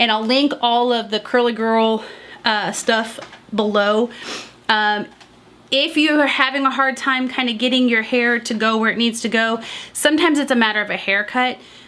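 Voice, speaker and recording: Here is a woman with a plain, everyday voice and a fairly high pitch. She speaks at a moderate pace with fairly even intonation. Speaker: beauty vlogger. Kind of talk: casual tutorial. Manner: casual with many fillers.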